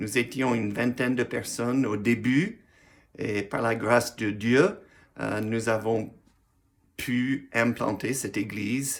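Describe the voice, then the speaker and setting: Recorded very cleanly with a silent background, a man speaks at a very slow pace with long, frequent pauses, medium pitch and fairly even intonation. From US Midwest, Missouri. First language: English (speaking French). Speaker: pastor. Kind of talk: personal video message, testimony. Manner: halting, with hesitations.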